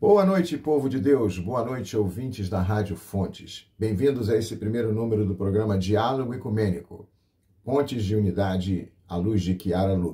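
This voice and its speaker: In a plain, everyday voice of fairly low pitch, a man talks at a moderate pace with ordinary pitch variation. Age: 60s. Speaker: pastor and radio host. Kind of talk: radio program presentation. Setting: radio broadcast.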